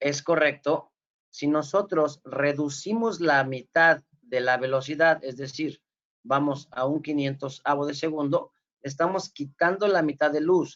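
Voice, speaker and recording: A man's unremarkable speaking voice at a fairly high pitch, fairly slow in pace, with fairly even intonation. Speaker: forensic photography instructor. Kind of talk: lecture. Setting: video call.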